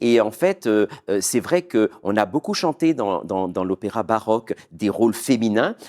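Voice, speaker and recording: Lively intonation marks this man's medium-pitched speech, delivered at a fairly slow pace in a dry, close sound with no echo. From Martinique. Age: 40s. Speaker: opera singer. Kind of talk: interview. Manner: hesitant.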